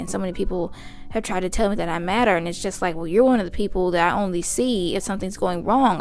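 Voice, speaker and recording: Over music in the background, a woman speaks at a very fast pace in a medium pitch with ordinary pitch variation. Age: 20s. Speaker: vlogger. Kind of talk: casual chat.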